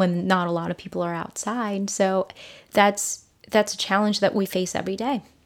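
A woman's ordinary speaking voice, an ordinary speaking voice at medium pitch with ordinary pitch variation, on a very clean recording with a silent background. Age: 30s. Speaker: podcast guest with gender studies background. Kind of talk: interview. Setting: recorded at host's kitchen table.

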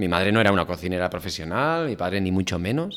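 A man in a very clean recording against a silent background. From Basque Country, Spain (Oiartzun, Gipuzkoa). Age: 40s. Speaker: chef. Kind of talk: casual interview. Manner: halting, many fillers and repetitions.

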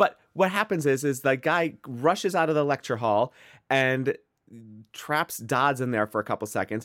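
At a moderate pace, a man with an American accent speaks at medium pitch with lively intonation. The sound is dry and close with no echo, on a very clean recording with a silent background. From US Midwest. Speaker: podcast co-host. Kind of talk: casual chat.

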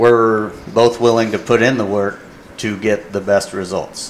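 A man's fairly low-pitched voice with fairly even intonation over noticeable background noise. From Indiana, US Midwest. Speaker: hunting guide, Navy veteran. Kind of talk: casual chat.

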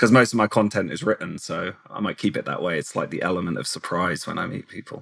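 A man with an English accent talks fast at a low pitch. His voice has vocal fry and a slightly husky edge. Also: ordinary pitch variation.

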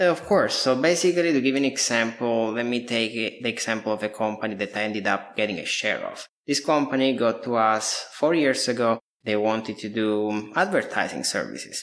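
A man with an Italian accent talks at a fairly quick pace in a medium pitch, with ordinary pitch variation and hardly any pauses. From southern Italy (Apulia, near Lecce). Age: 30s. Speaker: digital marketing agency owner. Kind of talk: interview.

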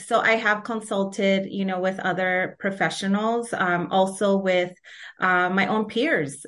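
A woman talks in an ordinary speaking voice at a medium pitch. Her intonation is fairly even, and the background is quiet. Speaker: graduate student and trainee therapist. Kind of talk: podcast interview.

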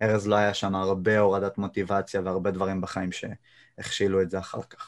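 This man has a fairly low voice and speaks at a moderate pace on a very clean recording with a silent background. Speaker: YouTuber and jiu-jitsu practitioner. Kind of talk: casual interview. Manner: monotone.

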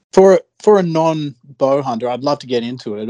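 Man with an Australian accent and a dark, mellow tone, dry, close sound with no echo, quiet background. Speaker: fishing podcast co-host. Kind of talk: casual chat.

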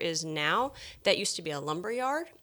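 The recording is very clean with a silent background. A woman speaks at a fairly low pitch with lively intonation. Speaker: podcast host. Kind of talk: casual chat. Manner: exuberant, animated.

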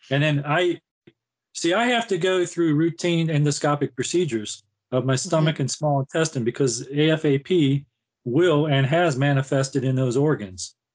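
A man with an American accent speaks at a moderate pace, his loudness very even. His pitch is fairly high with ordinary variation, in a plain, everyday voice. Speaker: retired navy veteran and cancer advocate. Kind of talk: interview.

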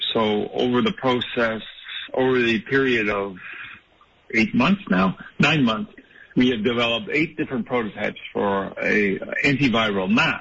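The man speaks at a medium pitch with very wide pitch swings. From Toronto area, Canada. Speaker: mask company entrepreneur. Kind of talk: radio interview.

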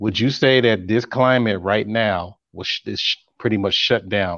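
A man with a plain, everyday voice, fairly low in pitch, at a moderate pace and with fairly even intonation, over a quiet background. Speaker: panel guest. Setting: video call.

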